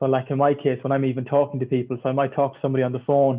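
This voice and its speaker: Speaking very fast in an Irish accent, a man keeps a medium pitch and a monotone, flat intonation. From Ireland. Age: 20s. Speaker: filmmaker. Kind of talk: panel discussion.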